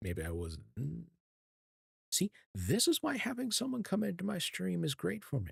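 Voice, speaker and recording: Soft-spoken and at a moderate pace, the man leaves long, frequent pauses. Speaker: VTuber streamer. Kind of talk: casual chat. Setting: live stream. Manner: calm.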